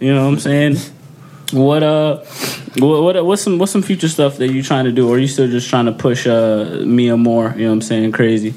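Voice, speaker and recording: Over noticeable background noise, a man talks fairly quickly at a medium pitch, with lively intonation and very even loudness. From Dominican heritage. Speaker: podcast host. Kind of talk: casual chat. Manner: animated.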